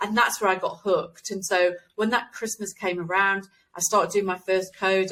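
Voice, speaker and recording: Speaking at a fairly quick pace, a woman with an East Midlands accent has a medium pitch, a bright, sharp tone and fairly even intonation. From England, East Midlands (Nottingham). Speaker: game developer. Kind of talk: interview.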